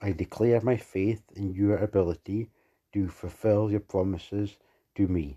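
A man's fairly low, normal speaking voice at a fairly slow pace, with ordinary pitch variation, a dry, close sound with no echo, and a quiet background. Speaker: prayer leader. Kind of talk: fervent prayer. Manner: earnest, pleading; steady, declarative.

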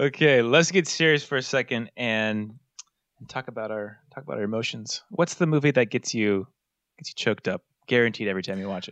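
An unremarkable speaking voice from a man at medium pitch, fairly quick, with lively intonation, big swings in loudness, and a dry, close sound with no echo. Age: 30s. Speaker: podcast host. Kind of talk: casual chat.

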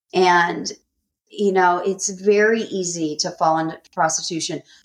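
The delivery is fairly slow. It's a normal speaking voice, and the pitch varies in an ordinary way. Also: woman. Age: 40s. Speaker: author and abuse survivor. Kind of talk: testimony.

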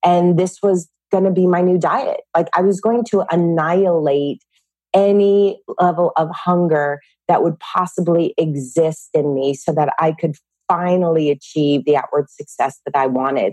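A woman with a Californian accent speaks at a moderate pace in a fairly low pitch with a dark, mellow tone and ordinary pitch variation. Her loudness is very even, and the sound is dry and close with no echo. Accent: Californian American English. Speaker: fitness and mindset teacher. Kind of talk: interview.

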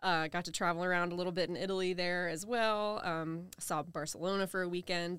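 Here is a normal speaking voice at a moderate pace. Its intonation stays fairly even. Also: woman. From US South, Charleston South Carolina Lowcountry. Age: 30s. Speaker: novelist. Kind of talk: interview. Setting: in person.

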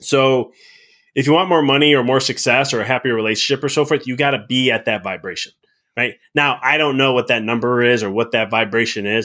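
The speaker has an American accent and a bright, sharp tone. The pace is fairly quick, with ordinary pitch variation. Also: man, medium pitch for a man. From Chicago. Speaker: life and business mindset coach, former chiropractor. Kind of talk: podcast interview. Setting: remote recording.

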